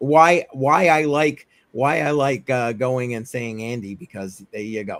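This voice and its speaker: Animated, fairly slow speech from a man with a New England accent, medium pitch and big swings in loudness. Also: ordinary pitch variation. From Massachusetts. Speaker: crypto livestream host. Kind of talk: casual chat. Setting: live stream.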